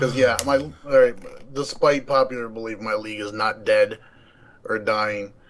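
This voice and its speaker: A man's medium-pitched voice at a moderate pace, broken by long, frequent pauses, over noticeable background noise. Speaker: gaming league leader. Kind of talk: casual chat. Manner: halting, many restarts.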